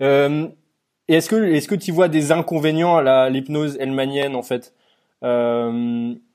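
Over a very clean recording with a silent background, a man with a fairly high pitch and ordinary pitch variation talks at a fairly slow pace, leaving long, frequent pauses. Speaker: podcast host. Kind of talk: interview.

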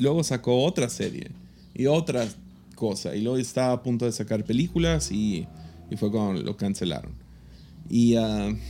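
Music plays in the background as a man speaks at a moderate pace. His pitch is fairly low and his intonation lively. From Mexico. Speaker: podcast host and pastor. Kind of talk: casual chat.

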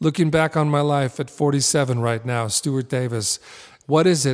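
Speaking at a fairly slow pace, a man uses an unremarkable speaking voice with medium pitch and fairly even intonation, recorded very cleanly against a silent background. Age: 40s. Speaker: artist and creativity teacher. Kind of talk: interview conversation; guided meditation.

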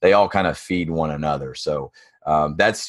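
A man with a Tennessee accent at a moderate pace, with ordinary pitch variation against a quiet background. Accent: Southern US (Tennessee). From East Tennessee. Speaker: construction business coach. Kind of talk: interview.

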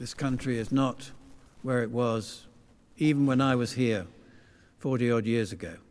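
In a southern English accent, a man of medium pitch speaks at a moderate pace with fairly even intonation and long, frequent pauses, and the room echo is audible. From London, England. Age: old. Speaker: visiting preacher. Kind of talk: sermon. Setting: church.

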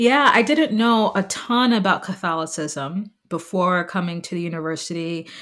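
A woman with a plain, everyday voice at medium pitch speaks with an American accent, lively intonation and hardly any pauses at a moderate pace. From New York City, Staten Island. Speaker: university alumna, mother. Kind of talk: interview, personal testimony.

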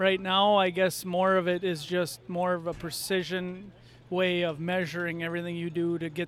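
A man's high-pitched voice in an Upper Midwest accent, with monotone, flat intonation. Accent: Upper Midwest (Minnesota). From Minnesota. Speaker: farmer and ag salesman. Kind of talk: casual interview. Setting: farm show.

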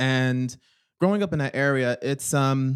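A man speaks in a plain, everyday voice with ordinary pitch variation. He goes at a fairly slow pace. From US, Philadelphia. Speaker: psychotherapist. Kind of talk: interview.

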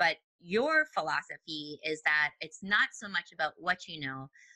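With a Minnesotan accent, a woman speaks in a bright, sharp tone and lively intonation, the sound dry and close with no echo. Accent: Minnesotan, long O vowels. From US Midwest, Minnesota. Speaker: podcast host. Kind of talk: interview. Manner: animated.

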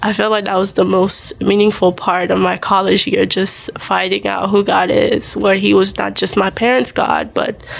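A woman talks at a moderate pace while noticeable background noise carries on beneath her. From Haiti. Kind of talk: testimony in interview.

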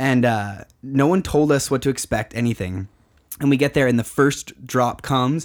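Speaking in a plain, everyday voice, a man holds a medium pitch, very even loudness, a moderate pace and ordinary pitch variation. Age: 20s. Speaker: podcast host. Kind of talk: casual interview chat. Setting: studio.

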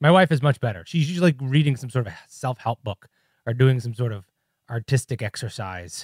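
A somewhat breathy man with an American accent speaks at a fairly quick pace, his loudness swinging widely. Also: dry, close sound with no echo, very clean recording, silent background. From Chicago, US Midwest. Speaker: podcast co-host, YouTuber. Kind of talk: casual chat.

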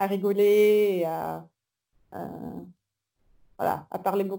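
A woman at a medium pitch with a dark, mellow tone. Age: 20s. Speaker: traveller and volunteer. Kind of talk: interview. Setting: video call.

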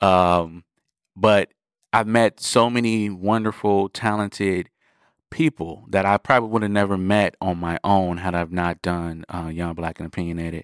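In an American accent, a man with a very deep, low pitch is heard in a very clean recording with a silent background and a dry, close sound with no echo. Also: moderate pace. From US Midwest, Milwaukee, Wisconsin. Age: 20s. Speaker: music producer. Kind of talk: interview monologue. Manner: animated.

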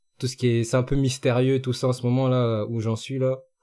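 Speaking in monotone, flat intonation, a man has a dark, mellow tone at a medium pitch. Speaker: regular podcast panelist. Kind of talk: casual chat.

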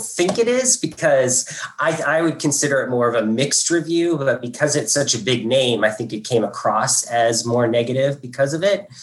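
With an American accent, a man talks at a moderate pace in a fairly high pitch over noticeable background noise. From southern Indiana, US. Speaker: food critic. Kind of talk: panel talk. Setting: video call.

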